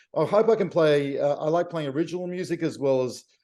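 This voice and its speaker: Dark and mellow in tone, a man speaks with an Australian accent and ordinary pitch variation. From Australia, Victoria (Melbourne). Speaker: jazz pianist. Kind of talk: interview.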